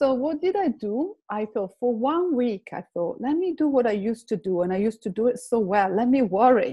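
A woman talks in an Italian accent with a high pitch. Her pitch swings very widely, and she hardly pauses. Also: moderate pace. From Italy, Lake Como. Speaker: complementary therapist. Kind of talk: personal testimony in interview.

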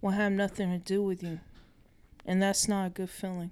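This is a woman's voice. Its pitch sits in the medium range. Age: 50s. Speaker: host's mother. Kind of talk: interview. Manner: halting.

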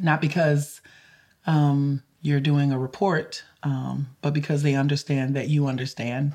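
A woman's very deep, low voice with a dark, mellow tone and a Louisiana accent, fairly slow, monotone and flat, at a very even loudness. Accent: Louisiana Southern US. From rural Louisiana creole community. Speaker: climate justice lawyer and advocate. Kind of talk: interview conversation. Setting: in Boston.

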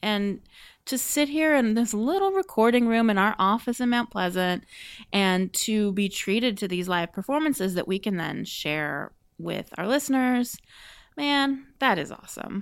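A woman's normal speaking voice, fairly high in pitch, with lively intonation and a moderate pace, in a very clean recording with a silent background. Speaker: podcast host. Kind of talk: casual chat and interview.

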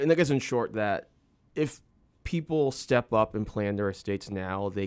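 A man with a fairly low pitch talks at a moderate pace in a normal speaking voice. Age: 30s. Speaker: estate planning attorney. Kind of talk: interview.

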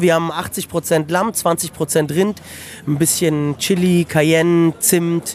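The speech moves at a very slow pace with fairly even intonation. Background noise is noticeable. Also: man. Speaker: restaurant owner. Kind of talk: casual chat. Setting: outdoors.

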